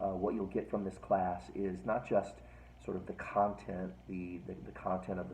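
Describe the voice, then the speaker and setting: A man with a very deep, low pitch and vocal fry speaks at a moderate pace. His pitch varies in an ordinary way, with audible room echo around him. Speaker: philosophy professor. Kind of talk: lecture. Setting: at home, recorded video. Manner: soft-spoken, near whisper; halting, many fillers.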